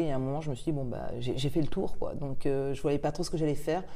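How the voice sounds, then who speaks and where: A woman talks with a very deep, low pitch and a dark, mellow tone. Her intonation is fairly even, and audible room echo surrounds her. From France and England. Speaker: start-up cofounder and English teacher. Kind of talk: interview.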